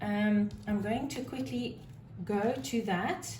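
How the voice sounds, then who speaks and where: A woman with medium pitch and lively intonation is heard with audible room echo and noticeable background noise. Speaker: tarot reader. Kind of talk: tarot reading monologue. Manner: loud; animated.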